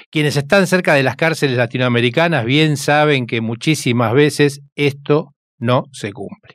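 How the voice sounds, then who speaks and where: A man with a Rioplatense accent speaks at a fairly high pitch, with hardly any pauses. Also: ordinary pitch variation, moderate pace. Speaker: radio host. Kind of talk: radio documentary narration.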